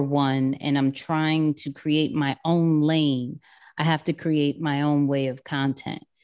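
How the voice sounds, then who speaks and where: At a very slow pace, a woman speaks with a New York accent against a quiet background. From New York City (Queens). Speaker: social media and personal branding expert. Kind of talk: podcast interview.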